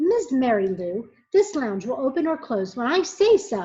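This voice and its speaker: Using a gruff, put-on character voice, a woman speaks at a moderate pace. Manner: firm, stern.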